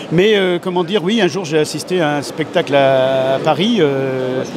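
Noticeable background noise, with a dry sound and no echo. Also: man. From Vendée, western France. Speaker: rural comedian. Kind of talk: interview answer. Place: hall. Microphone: handheld.

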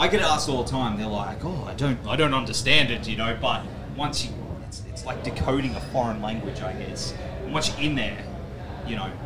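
Clearly audible background noise runs behind a man talking at a moderate speed. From Australia. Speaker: podcast host. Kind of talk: interview. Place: tent. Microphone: handheld.

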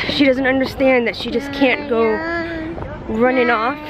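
A woman is heard in a dry sound with no echo, with crowd noise in the background. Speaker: parent vlogger. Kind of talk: casual vlog chat. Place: street. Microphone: phone near.

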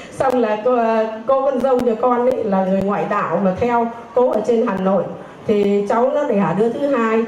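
There is audible room echo and light background noise. The pitch shifts in an ordinary way. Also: woman. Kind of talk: personal testimony. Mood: earnest, grateful, emotional. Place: church. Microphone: handheld.

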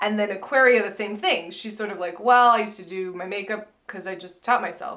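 A woman talks at a fairly quick pace with hardly any pauses, big swings in loudness and fairly even intonation against a quiet background. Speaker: TV recap show co-host. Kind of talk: casual chat. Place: home room.

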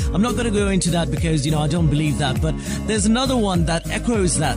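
Clear music plays behind a man whose voice sounds dry with no echo. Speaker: radio presenter. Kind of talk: radio breakfast show presenting, casual chatty banter. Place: studio. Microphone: studio mic.

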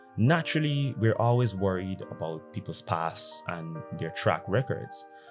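Clear music plays in the background. A man with a fairly low pitch speaks at a moderate pace. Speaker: dating commentary creator. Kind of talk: commentary to camera. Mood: serious, reflective. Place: home room. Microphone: studio mic.

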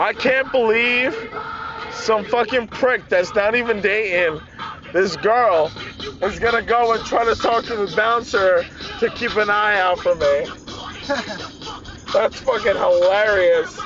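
With clear music playing behind him, a man talks at a fairly slow pace, taking long, frequent pauses, with ordinary pitch variation and a dry sound that has no echo. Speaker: vlogger passenger. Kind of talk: casual vlog chat. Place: car. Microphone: phone near.

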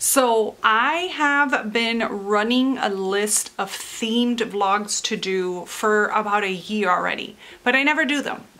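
A woman speaks at a very slow pace with hardly any pauses and ordinary pitch variation. Her voice has audible room echo. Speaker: book vlogger. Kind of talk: casual vlog. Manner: chatty, rambling with fillers.

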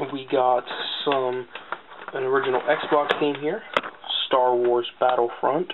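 A man speaks at a fairly slow pace, leaving long, frequent pauses. Background noise is noticeable. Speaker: gaming YouTuber. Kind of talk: casual video haul showcase. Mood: relaxed, mildly pleased. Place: home room. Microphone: webcam.

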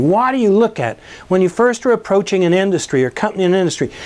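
The speaker is a man with a high-pitched voice. He talks very fast. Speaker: business educator and entrepreneur; course instructor. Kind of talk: course promotion talk to camera. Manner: casual, with frequent fillers. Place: classroom. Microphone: lapel.

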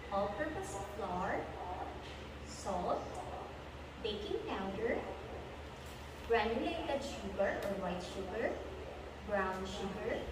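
Amid loud background noise and audible room echo, a woman speaks at a very slow pace with long, frequent pauses. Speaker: presenter. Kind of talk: tutorial. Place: kitchen. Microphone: camera far.

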